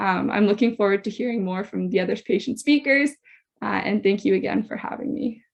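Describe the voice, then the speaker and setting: A woman with a Canadian accent speaks in an ordinary speaking voice, fairly high in pitch, with ordinary pitch variation. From western Canada, Saskatoon. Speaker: university student, patient speaker. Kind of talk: personal testimony talk.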